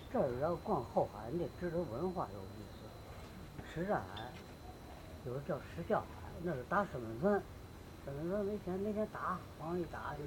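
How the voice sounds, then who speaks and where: A man with a Beijing accent talks at a moderate pace and high pitch, taking long, frequent pauses. His pitch swings very widely. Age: 80s+. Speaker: local elder storyteller. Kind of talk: oral history storytelling to camera. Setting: outdoors. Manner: lively, humorous.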